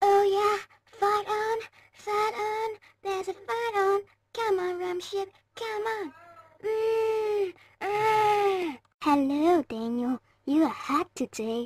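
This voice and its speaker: In a squeaky, cartoonish character voice at an extremely high pitch, the speaker goes at a very slow pace with long, frequent pauses. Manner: rambling, hesitant.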